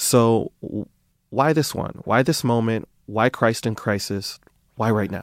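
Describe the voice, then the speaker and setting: On a very clean recording with a silent background, a man with an ordinary speaking voice talks at a fairly slow pace in a medium pitch, with ordinary pitch variation. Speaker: podcast host. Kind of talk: interview.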